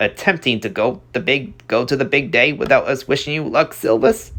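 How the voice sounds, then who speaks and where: In a put-on character voice, the speaker moves at a moderate pace with very wide pitch swings. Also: man, fairly high pitch for a man. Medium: read story. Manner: stiff, dry.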